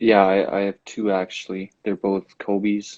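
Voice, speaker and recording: A man speaks in a very deep, low pitch. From Germany (Bielefeld, west). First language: German. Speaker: college basketball player. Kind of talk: interview.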